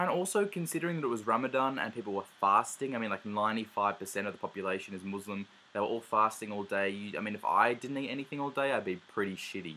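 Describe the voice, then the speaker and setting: Barely pausing, a man talks at a very fast pace with a bright, sharp tone and a fairly low pitch that varies in an ordinary way. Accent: Australian. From Australia. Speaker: travel vlogger. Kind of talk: casual vlog monologue. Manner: hesitant, many fillers.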